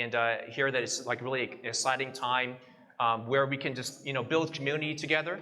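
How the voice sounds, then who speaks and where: With a Texas accent, a man speaks fairly quickly at medium pitch and fairly even intonation, amid noticeable background noise and audible room echo. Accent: American, Texas. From Texas, Houston. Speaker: guest preacher. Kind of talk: sermon with interpreter. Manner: hesitant, many fillers.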